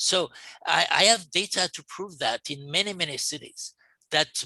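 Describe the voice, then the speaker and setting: Dry and close with no echo, a man's high, bright, sharp voice comes through in a French accent at a moderate pace. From France. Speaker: urban planning expert, panelist. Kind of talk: panel discussion. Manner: halting, many repetitions.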